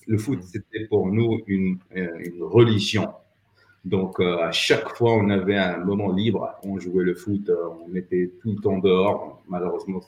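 A man talks at a fairly slow pace in a fairly low pitch, his intonation monotone and flat. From Morocco, Rabat. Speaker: entrepreneur and former dating coach. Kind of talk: casual interview. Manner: halting.

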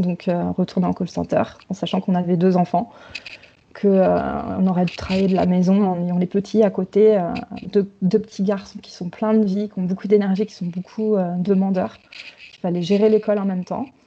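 Her intonation monotone and flat, a woman speaks with big swings in loudness. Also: medium pitch for a woman, moderate pace. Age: 30s. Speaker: returning expatriate mother. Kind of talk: testimony.

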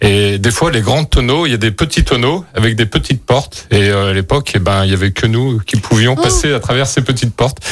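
Somewhat breathy, a man speaks at a fairly quick pace with ordinary pitch variation and very even loudness. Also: medium pitch for a man. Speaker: winemaker. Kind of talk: radio interview. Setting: studio.

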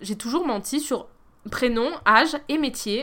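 Over a silent background in a very clean recording, a woman speaks with a bright, sharp tone and lively intonation. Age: 30s. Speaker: podcast host. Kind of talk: solo monologue. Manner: casual.

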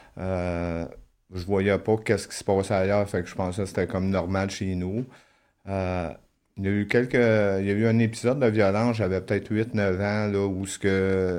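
Against a quiet background, a man in a normal speaking voice talks at a fairly slow pace with a fairly low pitch and fairly even intonation. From Quebec. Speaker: former prisoner. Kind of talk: testimony.

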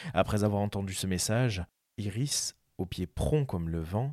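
A man with an ordinary speaking voice talks at a fairly slow pace and a fairly low pitch. The recording is very clean, with a silent background. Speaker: podcast narrator. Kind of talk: epic mythic narration, reading ancient Greek poetry aloud. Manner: solemn, measured, lyrical.

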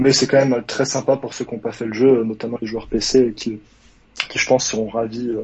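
With noticeable background noise, a man speaks at a moderate pace in a monotone, flat intonation. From Savoie, France. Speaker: caller, gaming fan. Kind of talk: casual chat. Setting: call-in to live stream.

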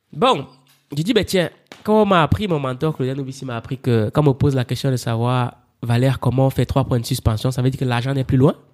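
Music plays in the background as a man at medium pitch talks in an animated tone at a fairly quick pace. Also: ordinary pitch variation. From Cameroon, Yaoundé. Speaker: publisher and author. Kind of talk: interview.

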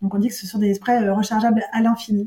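A woman speaks in a somewhat breathy, fairly high voice with a dark, mellow tone and monotone, flat intonation. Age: 40s. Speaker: entrepreneur. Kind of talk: interview. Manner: halting.

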